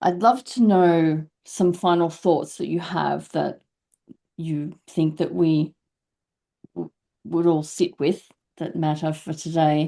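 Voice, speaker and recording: A woman with an Australian accent and a dark, mellow tone speaks at a very slow pace and fairly low pitch, with fairly even intonation and long, frequent pauses. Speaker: podcast host. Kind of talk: interview conversation.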